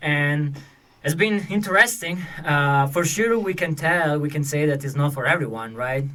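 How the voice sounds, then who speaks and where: In an Italian accent, a bright, sharp voice moves at a moderate pace with ordinary pitch variation, with audible room echo around it. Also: man, fairly high pitch for a man. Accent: Italian accent, often misplaced by listeners. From Italy. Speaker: marketing consultant, podcast host. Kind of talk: casual chat.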